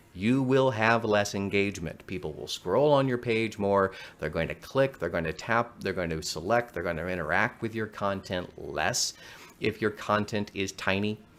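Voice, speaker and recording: A man's plain, everyday voice, fairly low in pitch, with ordinary pitch variation and a moderate pace. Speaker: marketing strategist. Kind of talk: online workshop presentation.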